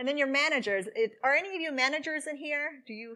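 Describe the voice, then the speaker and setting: A woman projects a raised voice at a high pitch. She goes at a very fast pace with ordinary pitch variation. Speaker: security conference speaker. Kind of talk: conference talk. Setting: stage with audience.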